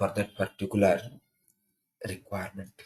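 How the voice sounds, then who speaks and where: A man speaks with an Indian accent. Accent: Indian English, easy to follow. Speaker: programming trainer. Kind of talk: counselling talk. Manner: simple, repetitive phrasing.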